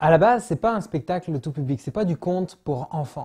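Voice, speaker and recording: A man's fairly high, dark, mellow voice with lively intonation at a moderate pace, in a very clean recording with a silent background. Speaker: actor and storyteller. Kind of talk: interview about his show. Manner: hesitant, with filler words.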